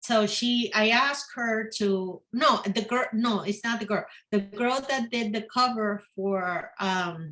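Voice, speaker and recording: A woman with a non-native accent, fairly high pitch and a bright, sharp tone, at a very slow pace with hardly any pauses. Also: ordinary pitch variation. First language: not English. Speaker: fantasy author. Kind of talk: casual interview chat. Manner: halting.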